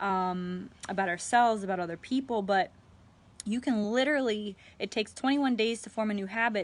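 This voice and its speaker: Her voice sits at a medium pitch for a woman. She talks at a fairly quick clip. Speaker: life coach. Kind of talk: live stream talk. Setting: live video stream. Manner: halting.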